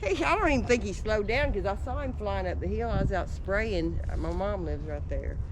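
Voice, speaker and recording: A woman speaks with a Texan accent at a fairly quick pace, with hardly any pauses. Noticeable background noise and audible room echo fill the recording. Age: 60s. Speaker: local eyewitness. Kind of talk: casual chat. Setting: outdoors.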